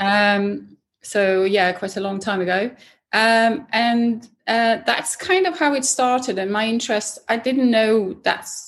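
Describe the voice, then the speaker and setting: A woman speaks with a Swedish accent at a fairly slow pace. Her pitch varies in an ordinary way. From Sweden. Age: 50s. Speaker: racing driver. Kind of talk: interview. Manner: halting.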